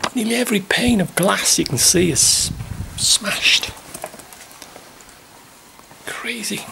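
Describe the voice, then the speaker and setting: There is noticeable background noise. Through it, a man speaks. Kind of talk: casual vlog chat. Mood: dismayed at the damage. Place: empty room. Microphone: phone near.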